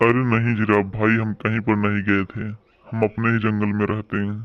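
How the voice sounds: A man speaks in a cartoonish character voice with a fairly low pitch. His intonation stays monotone and flat at a moderate pace.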